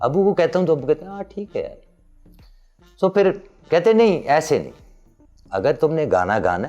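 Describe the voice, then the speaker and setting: Man's voice over music in the background. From Peshawar, Pakistan. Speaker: singer. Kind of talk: interview answer.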